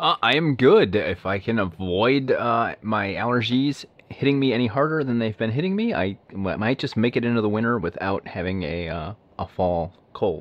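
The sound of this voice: This man has a fairly low pitch and lively intonation, speaking at a moderate pace.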